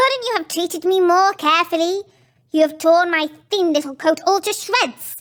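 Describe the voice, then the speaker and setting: A woman puts on a character voice pitched extremely high, talking at a moderate speed. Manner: indignant, complaining.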